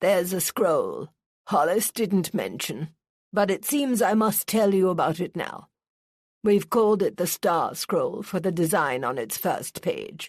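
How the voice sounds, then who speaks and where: A gruff, put-on character voice sounds female, at a medium pitch for a woman. The pace is fairly slow against a quiet background. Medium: read story. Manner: gruff, commanding.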